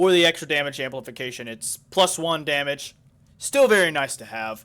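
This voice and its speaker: A man speaks at a moderate pace with a fairly high pitch, a bright, sharp tone, and ordinary pitch variation. His loudness swings widely on a very clean recording with a silent background. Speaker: gaming youtuber. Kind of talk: gameplay tutorial commentary. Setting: home recording studio. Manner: halting.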